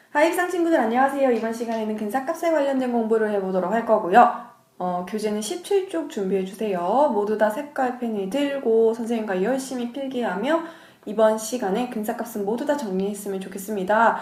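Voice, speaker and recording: Amid noticeable background noise and audible room echo, a woman talks at a fairly quick pace with a fairly high pitch and lively intonation. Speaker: middle school math teacher. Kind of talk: lecture. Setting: cram school lesson recording.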